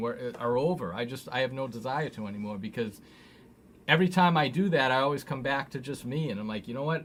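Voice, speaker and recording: A man with a plain, everyday voice, medium pitch and ordinary pitch variation, on a very clean recording with a silent background. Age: 50s. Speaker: musician and live-stream host. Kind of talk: casual chat.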